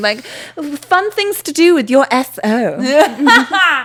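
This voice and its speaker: A woman with a British accent and very wide pitch swings, against noticeable background noise. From near Bristol, England. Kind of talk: informal conversation. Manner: casual, chatty.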